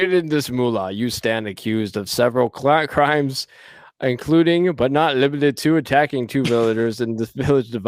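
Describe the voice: With ordinary pitch variation, the recording is plain reading aloud.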